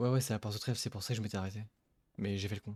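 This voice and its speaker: A soft-spoken man talks in a fairly low voice. His delivery is somewhat breathy. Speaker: gaming streamer. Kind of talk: let's play commentary. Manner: animated.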